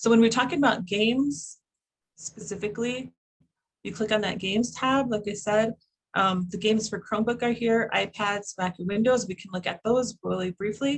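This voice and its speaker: A somewhat breathy woman's voice at a fairly high pitch with ordinary pitch variation. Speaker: educator presenting a curriculum project. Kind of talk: online presentation. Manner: hesitant, many fillers; fast.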